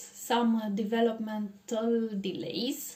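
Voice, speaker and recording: A woman with a Romanian accent, dark, mellow tone and fairly slow pace. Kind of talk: personal testimony. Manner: halting, many pauses.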